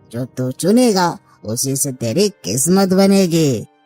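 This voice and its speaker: Over faint background music, a cartoonish character voice at a middle pitch speaks at a fairly slow pace. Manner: sly, persuasive.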